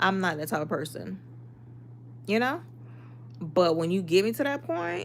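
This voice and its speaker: In an American accent, a woman speaks at a moderate pace in an animated tone, with very wide pitch swings, vocal fry and long, frequent pauses. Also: fairly low pitch for a woman. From Miami, Florida, Haitian family. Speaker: livestreamer. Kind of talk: casual chat.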